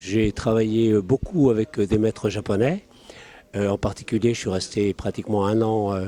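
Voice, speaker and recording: A man speaks with fairly low pitch and a dark, mellow tone. His intonation stays fairly even, and the sound is dry and close with no echo. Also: moderate pace. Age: 70s. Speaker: aikido practitioner. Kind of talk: interview. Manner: halting, many hesitations.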